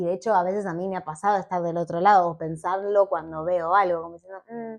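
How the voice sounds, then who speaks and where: Talking at a very fast pace, a woman keeps a medium pitch and monotone, flat intonation while her loudness swings widely. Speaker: petroleum engineer and science communicator. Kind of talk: casual interview chat.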